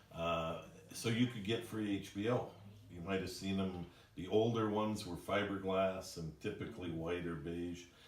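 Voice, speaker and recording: There is audible room echo around a man with a very deep, low pitch. He speaks at a moderate pace with fairly even intonation. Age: 60s. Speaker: company president. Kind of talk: employee orientation presentation. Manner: casual, conversational with fillers.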